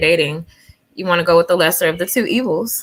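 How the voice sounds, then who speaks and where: In a normal speaking voice, a woman talks at a fairly quick pace with a fairly low pitch. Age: 40s. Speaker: talk show guest. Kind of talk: casual chat.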